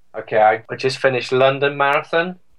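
A British accent with ordinary pitch variation. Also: man. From England. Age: 40s. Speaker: electronic music DJ and composer. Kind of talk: interview.

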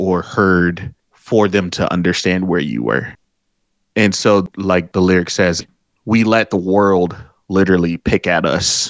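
In an American accent, a man speaks at a very slow pace with a very deep, low pitch. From Detroit, US Midwest. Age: 30s. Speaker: musician. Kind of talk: interview. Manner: hesitant, many fillers.

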